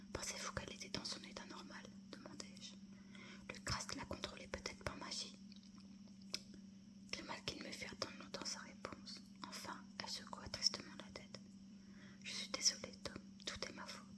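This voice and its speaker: Someone is whispering at a moderate pace with long, frequent pauses. Noticeable background noise is audible. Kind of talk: whispered audiobook-style reading of a novel (ASMR). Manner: whispered, soft.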